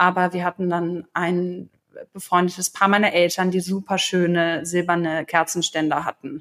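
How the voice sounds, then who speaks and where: In a very clean recording with a silent background and a dry, close sound with no echo, a woman speaks in a monotone, flat intonation at a moderate pace. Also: fairly low pitch for a woman. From Germany, Potsdam. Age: 20s. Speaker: interview guest, recently married bride. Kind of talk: casual interview.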